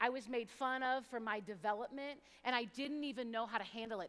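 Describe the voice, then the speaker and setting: Loud and high-pitched, a woman speaks in a bright, sharp tone. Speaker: youth speaker. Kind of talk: inspirational talk.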